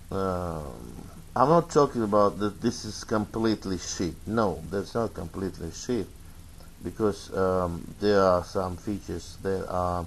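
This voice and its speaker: Spoken at a fairly slow pace in a Russian accent, the voice shows ordinary pitch variation. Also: man, very deep, low pitch for a man. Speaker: tech reviewer. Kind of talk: product review. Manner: halting, many fillers.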